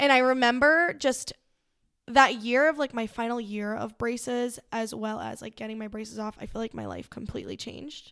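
A woman with an American accent speaks in a plain, everyday voice at a moderate pace, with ordinary pitch variation and big swings in loudness. The recording is very clean, with a silent background. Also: fairly high pitch for a woman. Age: 20s. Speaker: boutique owner. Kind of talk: casual chat.

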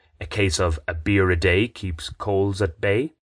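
An Irish accent over a quiet background. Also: man. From Ireland. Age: 30s. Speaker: podcaster, writer. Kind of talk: scripted narration.

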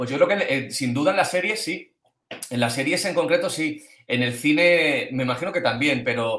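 Pitch variation is ordinary. The pace is moderate. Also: man. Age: 40s. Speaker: screenwriter. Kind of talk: interview answering questions. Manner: halting.

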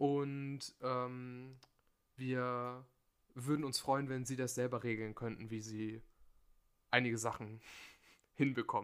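Delivery is very slow and monotone, with flat intonation and long, frequent pauses. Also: man, medium pitch for a man. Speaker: podcast host. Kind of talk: casual chat.

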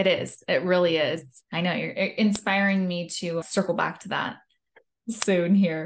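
A woman speaks at a fairly slow pace in a plain, everyday voice. Her pitch is medium and her intonation fairly even. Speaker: podcast host. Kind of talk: interview.

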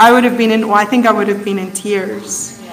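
A woman with a fairly high pitch and fairly even intonation talks amid noticeable background noise. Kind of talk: sermon. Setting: stage with audience.

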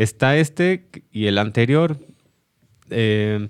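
A man uses a normal speaking voice with ordinary pitch variation. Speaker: cellist. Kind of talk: casual chat.

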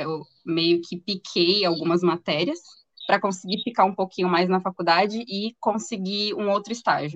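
Here a woman speaks in a medium-pitched voice. Her pace is moderate. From interior of São Paulo state, Brazil. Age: 20s. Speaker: chemical engineer. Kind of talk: interview.

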